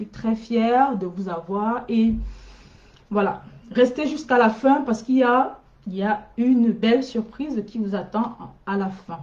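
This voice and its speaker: A somewhat breathy woman talks at a very slow pace, her fairly high pitch showing ordinary variation. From Cameroon. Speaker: school coach and middle school staff; school coach. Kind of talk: live stream talk to parents. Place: home room. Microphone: webcam.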